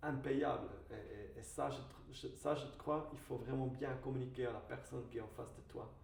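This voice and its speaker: A man at a moderate pace with a slight non-native accent, amid noticeable background noise and audible room echo. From Switzerland. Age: 30s. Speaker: wine merchant and business owner. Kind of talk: podcast interview. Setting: studio video podcast. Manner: halting, many hesitations.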